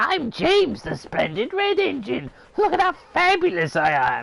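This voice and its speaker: Here is a put-on character voice pitched high. It sounds shrill. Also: moderate pace. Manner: pompous, boastful.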